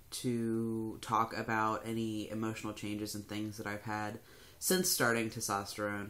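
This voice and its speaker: Fairly slow, mid-pitched speech from a man. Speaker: vlogger. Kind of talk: casual vlog. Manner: hesitant, many fillers.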